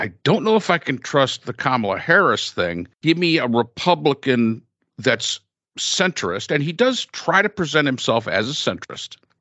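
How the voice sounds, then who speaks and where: Vocal fry runs through a man's voice as his pitch swings very widely at a moderate pace. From upstate New York, Finger Lakes. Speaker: podcast host. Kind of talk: casual chat.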